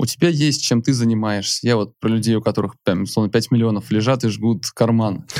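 Hardly pausing, a man with a normal speaking voice talks at a fairly quick pace, with very even loudness and ordinary pitch variation. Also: medium pitch for a man. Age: 30s. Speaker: entrepreneur and podcast host. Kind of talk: interview.

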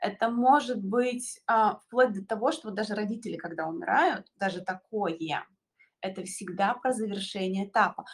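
Her pitch fairly high and somewhat breathy, a woman speaks at a moderate pace with ordinary pitch variation. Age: 30s. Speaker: astrologer. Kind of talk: casual chat.

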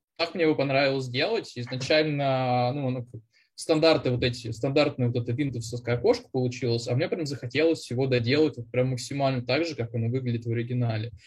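Very fast and somewhat breathy, a man speaks at medium pitch with fairly even intonation. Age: 30s. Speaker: junior software developer, former bank employee. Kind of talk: casual interview.

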